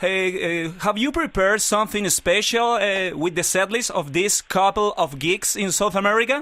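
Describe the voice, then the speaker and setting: A man's high, bright, sharp, raised and projected voice at a moderate pace, with ordinary pitch variation, very even loudness, and hardly any pauses. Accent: Chilean. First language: Spanish. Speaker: radio interviewer. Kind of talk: interview.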